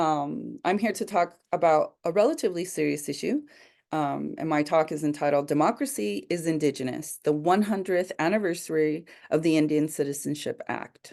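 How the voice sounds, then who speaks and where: A woman with a very deep, low voice and vocal fry speaks against a quiet background. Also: ordinary pitch variation, moderate pace. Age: 40s. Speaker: lawyer and community organizer. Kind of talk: educational talk to students. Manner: frequent fillers (um, uh).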